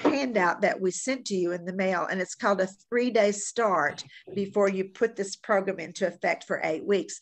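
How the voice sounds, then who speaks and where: A woman with medium pitch uses an ordinary speaking voice at a moderate pace. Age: 60s. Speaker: fitness program instructor. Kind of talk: workshop presentation.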